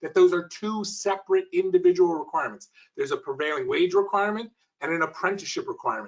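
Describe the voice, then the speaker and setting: At a very fast pace, a man gets the words out. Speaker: energy tax incentive consultant. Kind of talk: webinar presentation. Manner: many filler words.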